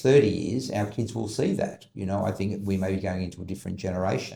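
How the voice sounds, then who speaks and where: A man with an Australian accent speaks fairly quickly at a fairly low pitch, with ordinary pitch variation and a dark, mellow, somewhat breathy tone. Room echo is audible. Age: 60s. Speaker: business advisory CEO. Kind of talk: podcast interview.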